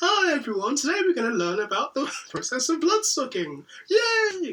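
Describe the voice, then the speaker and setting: A put-on character voice, high-pitched and cheerful in tone, with very wide pitch swings and a moderate pace. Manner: overly cheerful, creepy.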